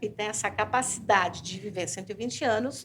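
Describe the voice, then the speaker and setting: Medium pitch and ordinary pitch variation in a woman's voice. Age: 60s. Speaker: professor researching aging. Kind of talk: panel discussion.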